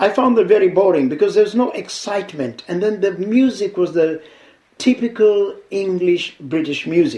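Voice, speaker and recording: With noticeable background noise, a man speaks at a high pitch and a moderate pace, with lively intonation. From Kenya, Mombasa. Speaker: veteran radio DJ. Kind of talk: interview.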